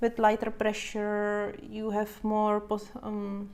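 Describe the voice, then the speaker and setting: A woman with a non-native accent talks very slowly at a fairly high pitch. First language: not English. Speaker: coloring channel host. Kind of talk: live stream coloring tutorial. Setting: home, live stream on camera. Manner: hesitant, with fillers.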